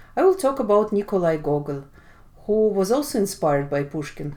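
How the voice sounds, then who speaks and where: A woman talks in a Russian accent at a moderate pace. Her tone is dark and mellow. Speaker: literature video blogger. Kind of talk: educational monologue. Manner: casual and relaxed.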